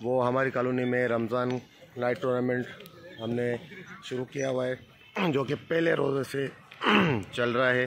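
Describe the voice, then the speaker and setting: A man speaks in a flat monotone over noticeable background noise. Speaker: vlogger and amateur cricketer. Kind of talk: casual vlog with on-the-spot interviews. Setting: outdoors at night cricket ground.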